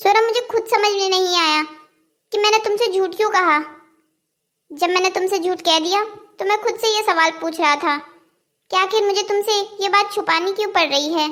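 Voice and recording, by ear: A woman does a cartoonish character voice at an extremely high pitch. She talks at a moderate pace with long, frequent pauses.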